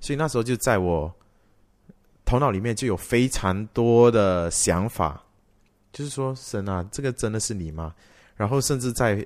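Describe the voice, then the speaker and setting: On a very clean recording with a silent background, a man speaks at a medium pitch and a moderate pace, with lively intonation and long, frequent pauses. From Malaysia. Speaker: worship leader and singer. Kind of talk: testimony.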